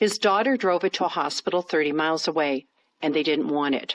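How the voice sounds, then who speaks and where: Recorded dry and close with no echo, a woman talks in an unremarkable speaking voice with ordinary pitch variation. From Canada. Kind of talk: narrated report.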